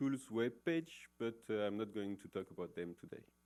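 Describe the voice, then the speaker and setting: A man speaks with a French accent in a dark, mellow tone. His pace is moderate and his pitch varies in an ordinary way. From France. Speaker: professor. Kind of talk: conference talk. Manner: many hesitations (uh, um).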